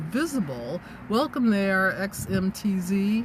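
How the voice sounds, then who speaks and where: Here is a woman with an ordinary speaking voice at a medium pitch. Her intonation is lively. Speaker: business coach and livestreamer. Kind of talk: live-stream talk to viewers. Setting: in a parked car.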